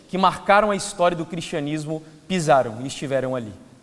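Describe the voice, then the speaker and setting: A man talks in a space with audible room echo, and noticeable background noise can be heard too. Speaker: preacher. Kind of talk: sermon. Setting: church.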